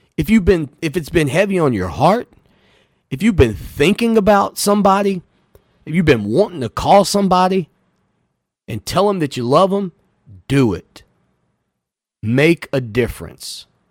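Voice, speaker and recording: A high-pitched man with a Southern US accent talks at a moderate pace, his pitch swinging very widely, with long, frequent pauses in a dry, close sound with no echo. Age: 40s. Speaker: sports radio host. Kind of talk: radio talk show.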